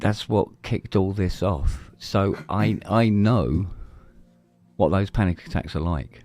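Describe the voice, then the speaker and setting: Over music in the background, a man with an English accent speaks very slowly in a fairly low voice, his intonation lively and his loudness very even. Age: 60s. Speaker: podcast host. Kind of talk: casual chat.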